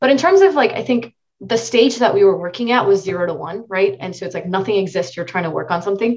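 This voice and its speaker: A woman speaks at a very fast pace. Her voice sounds somewhat breathy. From India. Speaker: machine learning engineer. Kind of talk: interview.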